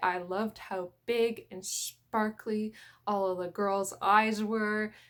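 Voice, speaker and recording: A woman with a Canadian accent speaks very slowly at a fairly high pitch with fairly even intonation, recorded very cleanly against a silent background. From Canadian prairies. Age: 20s. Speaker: manga YouTuber. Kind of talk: casual vlog talk.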